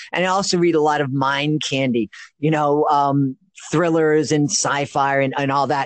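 With an American accent and an unremarkable speaking voice, a man talks at a moderate pace in a fairly high pitch, his loudness very even and his intonation fairly even. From Boston. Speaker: children's magician and podcast host. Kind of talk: interview.

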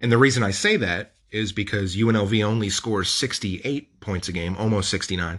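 An ordinary speaking voice from a man, fairly low in pitch, at a fairly quick pace with hardly any pauses and fairly even intonation, over a quiet background. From Las Vegas, US. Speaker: sports podcast host. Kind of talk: casual chat.

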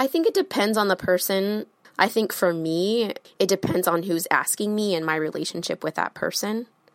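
A woman talks at a moderate pace in an unremarkable speaking voice. Her pitch is medium, with ordinary variation. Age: 30s. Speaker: interviewed voter. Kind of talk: interview.

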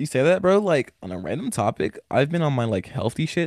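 In a very clean recording with a silent background, a man with an American accent speaks with vocal fry and very wide pitch swings. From US South, Atlanta outskirts (Gwinnett, Decatur). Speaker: underground rapper. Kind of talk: casual chat. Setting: at home.

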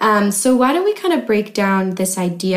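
A woman with an ordinary speaking voice talks at a moderate pace. Her pitch sits in the medium range. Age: 20s. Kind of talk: casual chat. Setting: makeshift home studio.

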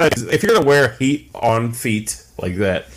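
Lively intonation in an unremarkable speaking voice from a man with a medium pitch. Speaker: podcast co-host and wrestling figure collector. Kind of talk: casual chat.

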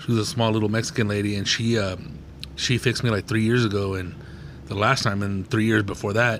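Speech comes at a very fast pace with fairly even intonation. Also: man, fairly low pitch for a man. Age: 40s. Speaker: comedian and podcast host. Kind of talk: casual chat.

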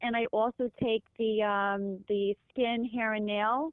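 The woman talks at a fairly slow pace. Her intonation is fairly even. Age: 60s. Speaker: caller with health question. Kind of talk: call-in question. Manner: halting.

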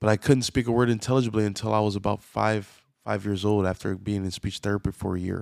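A man with an American accent and fairly low pitch, very fast and monotone with flat intonation, in a dry, close sound with no echo and a very clean recording with a silent background. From US South. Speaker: pastor. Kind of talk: sermon.

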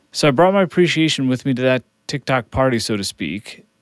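A man talks with ordinary pitch variation. The recording is very clean and the background silent. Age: 40s. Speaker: motivational speaker. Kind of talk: motivational talk. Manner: animated.

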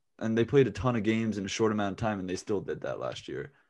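A man with an American accent and a plain, everyday voice, medium pitch and fairly even intonation. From US South (Raleigh, North Carolina). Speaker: podcast co-host. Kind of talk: casual chat.

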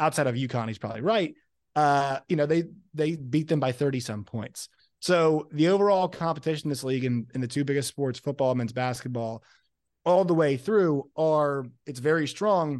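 A man's normal speaking voice, fairly high in pitch, at a moderate pace with ordinary pitch variation over a quiet background. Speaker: college sports podcaster. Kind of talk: roundtable discussion.

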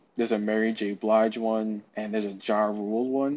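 A man speaks in a New York accent at a fairly low pitch. His intonation is monotone and flat, and his pace is moderate. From New York City (Brooklyn). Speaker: NFT community moderator. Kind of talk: casual interview.

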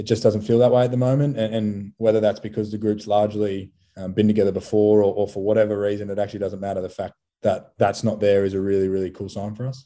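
Against a quiet background, a man with an Australian accent talks very fast in a flat monotone, his fairly low voice dark and mellow in tone. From Australia, Sydney. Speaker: professional rugby player. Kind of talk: interview. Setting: remote call.

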